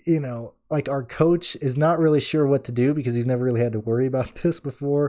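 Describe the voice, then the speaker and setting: A man talks at a very fast pace with hardly any pauses, his tone dark and mellow and his intonation fairly even. The recording is very clean, with a silent background. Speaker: NASCAR fantasy sports podcaster. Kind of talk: casual solo podcast talk. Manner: casual, with filler words.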